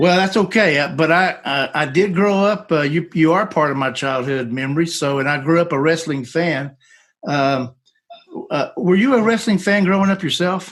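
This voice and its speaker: Against a quiet background, a man speaks at a high pitch and a moderate pace. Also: ordinary pitch variation. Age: 50s. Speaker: podcast host. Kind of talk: interview conversation.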